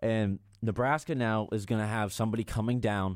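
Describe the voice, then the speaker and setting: A man with an American accent speaks in a normal speaking voice at medium pitch and a fairly quick pace, on a very clean recording with a silent background. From Maine, US Northeast. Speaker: sports podcast co-host. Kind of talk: casual sports talk.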